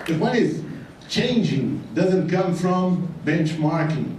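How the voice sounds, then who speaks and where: A man delivers his words at a fairly slow pace, with audible room echo and noticeable background noise around him. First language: Portuguese. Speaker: retail consultant. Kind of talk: conference talk. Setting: stage with audience.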